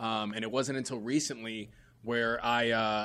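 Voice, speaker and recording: A man with an American accent speaks in an ordinary speaking voice with fairly even intonation, on a very clean recording with a silent background. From New York City. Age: 30s. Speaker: comedian and podcaster. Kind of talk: casual chat.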